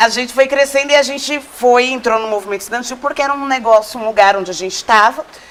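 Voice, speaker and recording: A woman talks at a very fast pace in a high voice. Noticeable background noise runs behind her. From Cajamar, São Paulo state, Brazil. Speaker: social movement activist. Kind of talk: casual chat.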